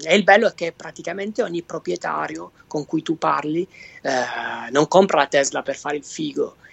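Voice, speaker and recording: In a Basilicata accent, a man speaks at a moderate pace with vocal fry and ordinary pitch variation. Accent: southern Italian, Basilicata. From southern Italy, Basilicata. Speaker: electric car travel blogger. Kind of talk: casual interview. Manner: halting, many repetitions.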